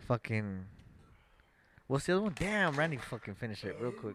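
The speaker is a man moving at a fairly quick pace. His pitch swings widely.

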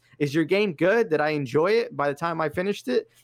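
With an American accent, a man talks in a normal speaking voice at a moderate pace. His intonation is lively, and the recording is very clean with a silent background. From Los Angeles, US. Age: 30s. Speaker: gaming content creator. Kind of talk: casual chat.

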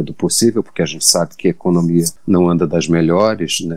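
A man talks with ordinary pitch variation. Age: 30s. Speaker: screenwriter and writer. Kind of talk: interview conversation.

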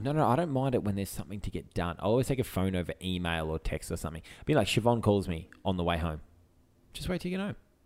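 Speaking in an Australian accent, a man races along at a very fast pace with lively intonation and a fairly low pitch. The recording is very clean, with a silent background. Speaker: podcast co-host. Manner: casual, bantering.

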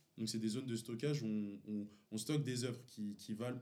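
This man has a medium-pitched voice with a dark, mellow tone. He speaks at a moderate pace, and there is audible room echo. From Paris region, Montfermeil (Seine-Saint-Denis). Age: 20s. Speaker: friend, small clothing brand founder. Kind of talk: casual chat.

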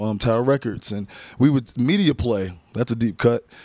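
A man with an American accent speaks in an animated tone while music plays in the background. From Massachusetts. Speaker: music producer. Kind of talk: casual chat.

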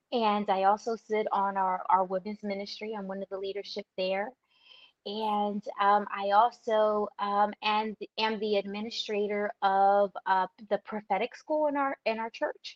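A woman with a New Jersey accent at a fairly slow pace and a medium pitch. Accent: New Jersey American. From southern New Jersey. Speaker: author. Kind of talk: testimony.

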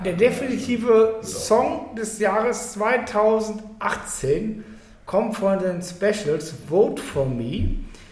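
A man speaks at a very slow pace in a high voice for a man, with ordinary pitch variation. Noticeable background noise and audible room echo are present. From Germany, Cologne. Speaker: podcast host. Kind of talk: casual chat. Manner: loud and clear.

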